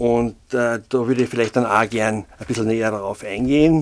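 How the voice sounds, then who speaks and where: Fairly even intonation runs through this man's medium-pitched voice. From Austria, Carinthia (St. Veit area). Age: 60s. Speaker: freelance local journalist. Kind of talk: casual interview. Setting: studio. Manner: hesitant, many filler sounds.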